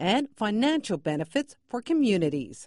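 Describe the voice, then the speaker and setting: The voice moves at a moderate pace, recorded dry with no echo against a quiet background. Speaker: news reporter. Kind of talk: news narration.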